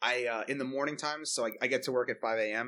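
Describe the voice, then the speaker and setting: Over a quiet background, a man talks at a fairly quick pace with a bright, sharp tone. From New York, Long Island. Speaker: pastry chef. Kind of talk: interview. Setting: front porch.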